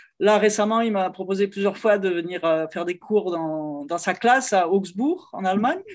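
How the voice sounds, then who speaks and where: With lively intonation and a medium pitch, a woman with an ordinary speaking voice talks at a moderate pace in a very clean recording with a silent background. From France, Lyon. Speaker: cellist and music teacher. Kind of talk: interview conversation.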